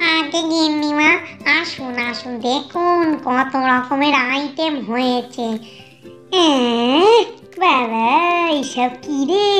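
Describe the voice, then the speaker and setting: A cartoonish character voice does the talking. Clear music plays in the background. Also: woman. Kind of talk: comic overacting. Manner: grumbling, scolding.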